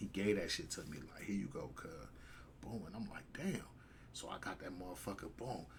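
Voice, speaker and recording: A man whispers at a fairly quick pace with audible room echo. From Compton, California. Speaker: storyteller, former inmate. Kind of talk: casual storytelling interview. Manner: repetitive filler, stuttering; animated with sound effects.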